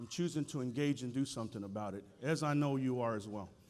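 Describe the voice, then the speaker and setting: The delivery is very fast and animated in tone. Its pitch swings very widely. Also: man. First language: Spanish. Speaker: school board chair. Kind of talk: keynote speech. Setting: stage with audience.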